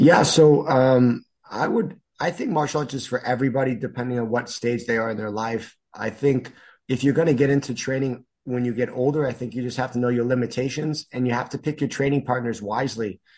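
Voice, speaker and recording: A man with a Chicago accent, medium pitch, fairly even intonation and a fairly quick pace, over a quiet background. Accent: Chicago-area American. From US Midwest, northern Chicago suburbs, Illinois. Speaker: martial arts instructor. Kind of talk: casual interview.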